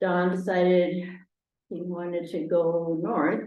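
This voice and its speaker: Audible room echo carries a woman's fairly low-pitched voice. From Argentina, Buenos Aires; US Northeast from age seven. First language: Spanish. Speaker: retired French teacher, local resident. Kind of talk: oral history interview. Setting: town hall recording over video call equipment. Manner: hesitant, many fillers.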